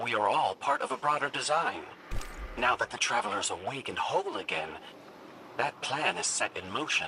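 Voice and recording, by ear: At a moderate pace, a man uses a put-on character voice with a bright, sharp tone, vocal fry and big pitch swings, over faint background noise. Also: fairly high pitch for a man.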